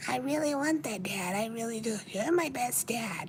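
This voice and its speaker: This put-on character voice sits at a fairly high pitch and a moderate pace. Clear background noise runs underneath. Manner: pleading, sweet.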